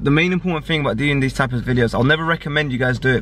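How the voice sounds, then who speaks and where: Light background noise sits behind a man. His sound is dry, with no echo. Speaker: vlogger. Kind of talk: casual vlog chat. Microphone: phone near.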